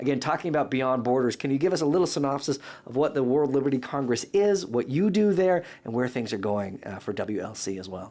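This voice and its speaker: Talking at a very fast pace, a man with a medium pitch and a dark, mellow tone makes very wide pitch swings. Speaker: podcast co-host. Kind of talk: podcast interview.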